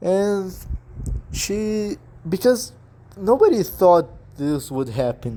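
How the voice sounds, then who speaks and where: With a non-native accent, a man speaks in a high, dark, mellow voice, using very wide pitch swings, a very slow pace, and long, frequent pauses. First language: not English. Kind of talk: casual talk to camera. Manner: hesitant, halting.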